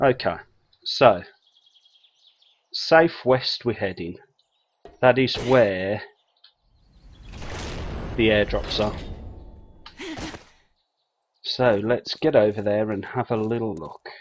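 Over light background noise, a man speaks at a very slow pace with long, frequent pauses and ordinary pitch variation. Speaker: game streamer. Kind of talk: casual gameplay commentary. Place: home room. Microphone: headset.

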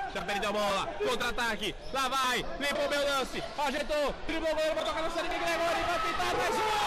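A man talking at a fairly quick pace with hardly any pauses, over loud background noise. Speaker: sports commentator, futsal match narrator. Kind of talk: live sports play-by-play commentary. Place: hall.

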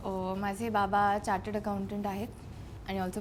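Against light background noise, a woman speaks at a medium pitch in a plain, everyday voice. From Mumbai, India; India. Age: 20s. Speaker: actress. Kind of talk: interview. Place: studio.

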